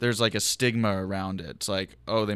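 The recording is very clean, with a silent background. A man with a normal speaking voice talks at a fairly low pitch with fairly even intonation. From Philadelphia, West Philly. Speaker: comedian podcast host. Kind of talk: casual chat. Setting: garage.

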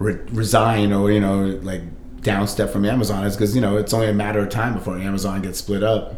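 In a room with audible echo, a man with a fairly low pitch talks very fast. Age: 40s. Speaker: musician and record collector. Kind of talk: casual chat. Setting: in-person recording at guest's home. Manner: animated.

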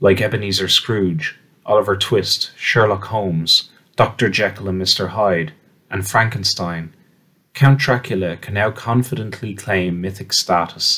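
A man speaks at a moderate pace with a bright, sharp tone. His pitch is fairly low, with ordinary variation. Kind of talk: audiobook-style reading aloud of a scholarly essay on literary history. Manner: measured, formal, clearly enunciated academic delivery.

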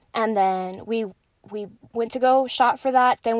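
Speaking with an American accent, a woman uses a fairly high pitch and an animated tone at a moderate pace. The recording is very clean, with a silent background. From El Paso, Texas. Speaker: podcast host. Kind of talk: casual monologue.

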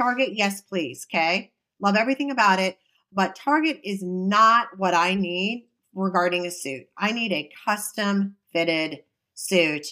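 A woman speaks at a fairly slow pace with a medium pitch. Her tone is bright and sharp, and her intonation is lively. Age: 50s. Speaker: podcast co-host. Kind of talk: casual chat.

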